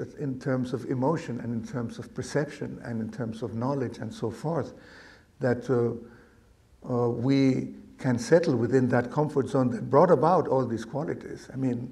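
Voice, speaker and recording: A man with a dark, mellow tone and a somewhat breathy quality talks at a moderate tempo, his medium pitch varying in an ordinary way. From Argentina. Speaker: meditation teacher. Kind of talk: dharma talk to live audience.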